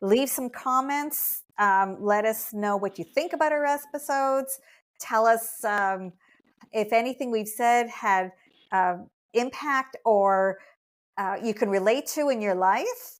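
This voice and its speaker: A woman with a Canadian accent speaks at a very slow pace in a fairly high pitch. The recording is very clean, with a silent background. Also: ordinary pitch variation. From Quebec, Montreal. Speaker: podcast host, dog blogger. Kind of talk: casual chat.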